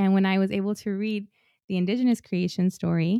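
A woman with an American accent, medium pitch and a dark, mellow tone, in a very clean recording with a silent background and a dry, close sound with no echo. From rural Washington State. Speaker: seminarian and spiritual director. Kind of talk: casual interview.

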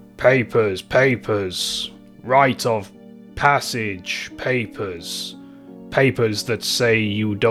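Over clear background music, a man in a put-on character voice rumbles at medium pitch and a very slow pace, with ordinary pitch variation. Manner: gruff, repetitive.

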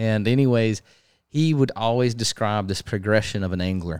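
Recorded very cleanly against a silent background, a man with a plain, everyday voice and fairly low pitch talks at a moderate pace. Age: 20s. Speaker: podcast host and fishing guide. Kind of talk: casual chat. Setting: garage.

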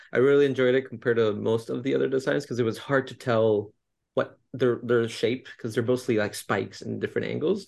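He has an ordinary speaking voice at a medium pitch for a man. His pace is fairly quick, with ordinary pitch variation. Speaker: podcast co-host. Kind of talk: casual interview chat.

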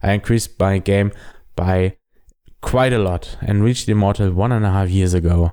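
In a very clean recording with a silent background, a man speaks at a moderate pace with a fairly low pitch and a dark, mellow tone. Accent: German. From Germany. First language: German. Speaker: game tutorial podcaster. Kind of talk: scripted-style podcast intro. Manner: enthusiastic, friendly.

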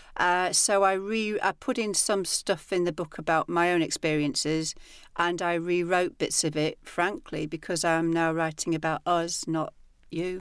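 A woman with a northern English accent, a fairly low pitch and fairly even intonation at a moderate pace, on a very clean recording with a silent background. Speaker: personal trainer and author. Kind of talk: casual interview chat.

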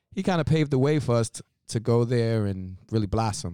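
A man's dark, mellow voice at a fairly quick pace, dry and close with no echo, on a very clean recording with a silent background. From Brooklyn, New York. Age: young. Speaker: church member sharing redemption story. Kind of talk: testimony. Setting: pastor's office at a church.

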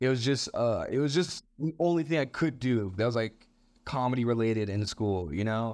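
A plain, everyday voice at a moderate pace over a quiet background. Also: man. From Canada, Montreal. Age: 20s. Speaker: stand-up comedian. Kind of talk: casual interview.

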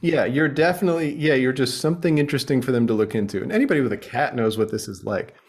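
Over noticeable background noise, a man with an American accent talks at a very fast pace with lively intonation and hardly any pauses. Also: fairly high pitch for a man. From United States. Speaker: journalist and author. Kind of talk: casual interview chat.

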